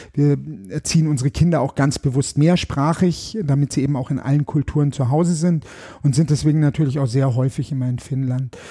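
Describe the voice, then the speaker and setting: Fairly quick and somewhat breathy, a man talks in a dark, mellow tone at a fairly high pitch with fairly even intonation. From Germany, Bavaria, moved around a lot. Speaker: political candidate and musician. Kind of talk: interview chat.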